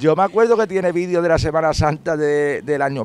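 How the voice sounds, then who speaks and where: A man speaks at a very fast pace. The sound is dry with no echo. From Andalusia, Spain. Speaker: video reporter. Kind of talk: on-location interview. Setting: outdoors at a football stadium gate. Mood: warm, nostalgic about a friend. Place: street.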